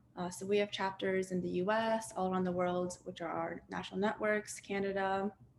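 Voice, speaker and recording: With an American accent and an unremarkable speaking voice, a woman talks at a fairly quick pace in a medium pitch, with hardly any pauses and fairly even intonation. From Tibetan exile community, born in Dharamsala, India, raised in Boston area. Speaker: activist, grassroots coordinator. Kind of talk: panel talk.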